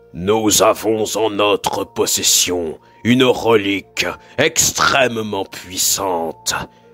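Faint music plays in the background as a man in a put-on character voice, fairly low in pitch, speaks at a very slow pace. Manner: earnest and hesitant in the confession, bitter and bold later.

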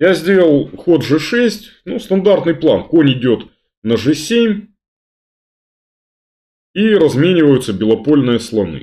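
Over a quiet background, the speaker goes at a very slow pace with very wide pitch swings. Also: man. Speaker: chess grandmaster commentator. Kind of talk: commentary. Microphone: webcam.

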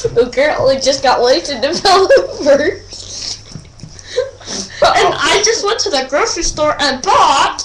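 A cartoonish character voice at an extremely high pitch swings very widely in pitch at a moderate pace, with long, frequent pauses. Background noise is clear. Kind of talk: comedic puppet skit. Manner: hyper, excited.

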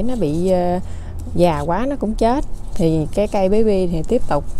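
With light background noise but a dry sound with no echo, a woman speaks at a moderate pace with ordinary pitch variation. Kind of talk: tutorial. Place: garden. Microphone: phone near.

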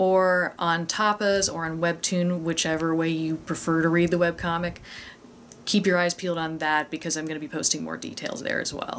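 Against light background noise, a woman speaks in a plain, everyday voice at a fairly low pitch, with fairly even intonation and a moderate pace. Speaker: guest vlogger promoting a webcomic giveaway. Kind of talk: casual vlog chat. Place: home room.

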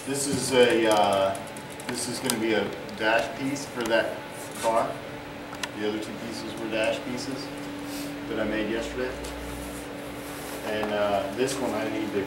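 A man at a moderate pace with long, frequent pauses, over loud background noise. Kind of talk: shop explanation. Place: workshop. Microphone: camera far.

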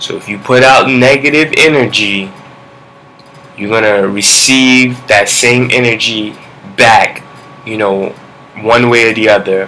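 Against noticeable background noise, a man speaks at a fairly slow pace and medium pitch with long, frequent pauses. His intonation is fairly even. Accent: Brooklyn. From Brooklyn, New York. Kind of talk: vlog monologue with preaching. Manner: halting, many fillers.

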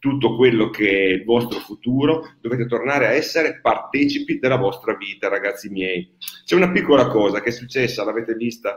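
A man talks at a fairly quick pace, and his pitch varies an ordinary amount. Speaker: association host. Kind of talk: impassioned talk to livestream audience.

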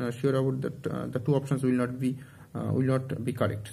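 The man's voice has a dark, mellow tone and sounds somewhat breathy. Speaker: exam coaching student. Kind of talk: casual advice talk. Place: home room. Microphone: phone near.

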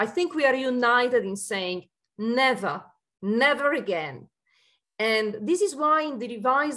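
Over a quiet background, the speaker uses lively intonation at a fairly slow pace. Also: woman. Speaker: EU Commission official. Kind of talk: panel discussion. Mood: earnest, measured. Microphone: video call.

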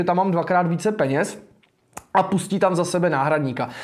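The man's voice sits high in pitch. Behind him, the background is quiet. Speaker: political commentator and livestream host; political commentator, livestream host. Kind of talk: live political commentary stream. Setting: live stream. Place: studio. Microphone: lapel.

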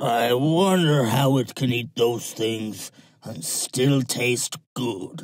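A man at a medium pitch uses a put-on character voice and talks at a very slow pace. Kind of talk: audiobook drama acting. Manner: menacing, greedy, gleefully cruel.

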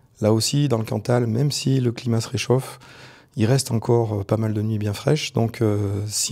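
In a quiet background, a man with a medium-pitched, dark, mellow voice speaks at a moderate pace with fairly even intonation. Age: 40s. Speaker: parliamentary candidate; candidate. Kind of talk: political interview. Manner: hesitant, frequent fillers.

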